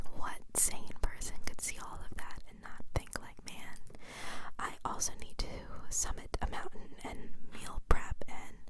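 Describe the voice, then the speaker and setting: A woman's fairly slow whisper with big swings in loudness and noticeable background noise. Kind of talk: ASMR whispered ramble with personal attention. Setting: studio, close microphone recording. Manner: whispered, soft-spoken, casual chatty.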